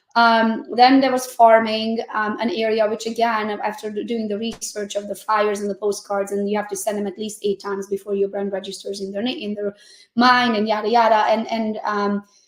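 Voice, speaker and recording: With hardly any pauses, a woman speaks at a fairly quick pace and fairly high pitch against noticeable background noise. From Transylvania, Romania (Hungarian). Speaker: real estate agent. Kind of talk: podcast interview. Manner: animated.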